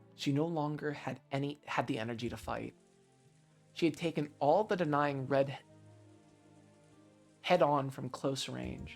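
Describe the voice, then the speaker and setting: A man's fairly high-pitched voice at a fairly slow pace, with ordinary pitch variation, long, frequent pauses and music in the background. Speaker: streamer reading a visual novel aloud. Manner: reads narration aloud expressively.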